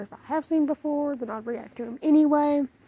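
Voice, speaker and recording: The speaker is a woman with a Southern US accent. Her pitch variation is ordinary. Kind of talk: casual talk to camera. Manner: talkative.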